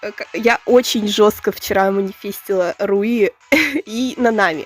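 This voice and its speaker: With music in the background, the speaker talks at a very slow pace using ordinary pitch variation. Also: woman, fairly high pitch for a woman. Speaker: gacha gaming youtuber. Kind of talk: casual gacha pull commentary. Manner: animated, excited exclamations; halting, stammering.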